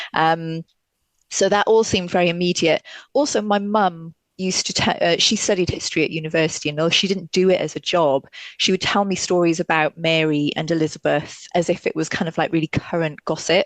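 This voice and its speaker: A woman with a slight Welsh accent, fairly low-pitched and fairly quick, her intonation fairly even, in a dry, close sound with no echo and a quiet background. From Wales, Welsh-English border near South Wales valleys. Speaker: fashion historian. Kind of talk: podcast interview. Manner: halting, many fillers.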